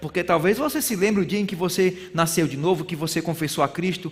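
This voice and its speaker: Over noticeable background noise, a man with a northeastern Brazilian accent speaks in an animated tone. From Brazilian Northeast. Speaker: bible school teacher. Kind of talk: sermon-style lecture.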